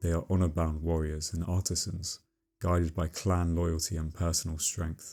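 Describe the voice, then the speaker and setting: A soft-spoken, calm voice in monotone, flat intonation, with music in the background. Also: man, very deep, low pitch for a man, moderate pace. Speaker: lore narrator. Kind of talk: scripted narration.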